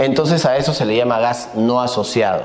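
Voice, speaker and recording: The speech moves at a fairly slow pace with noticeable background noise and audible room echo. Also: man. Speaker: energy consultant lecturer. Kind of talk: lecture.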